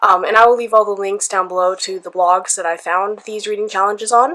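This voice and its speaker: At a fairly quick pace, a woman speaks with a bright, sharp tone in a medium pitch. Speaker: book vlogger. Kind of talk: casual vlog talk. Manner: hesitant, many ums.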